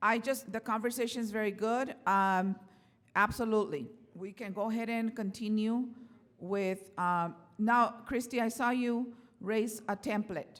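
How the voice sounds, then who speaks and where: A woman's voice sits at a fairly high pitch with fairly even intonation. She speaks at a fairly slow pace. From Mexican-American community, US. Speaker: workshop facilitator. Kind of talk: workshop facilitation. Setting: conference workshop with audience. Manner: halting, many fillers. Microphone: without microphone at one point.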